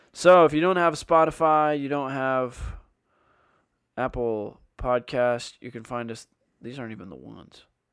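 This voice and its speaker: Ordinary pitch variation from a man's voice over a quiet background. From Canada. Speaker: college runner and podcast co-host. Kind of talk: casual chat.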